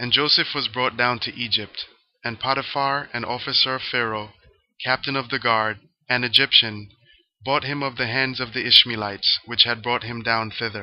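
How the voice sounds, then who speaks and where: Long, frequent pauses break up a man's speech at a moderate pace. His medium-pitched voice stays monotone, with flat intonation. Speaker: scripture reader. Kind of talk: reading aloud. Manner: clear.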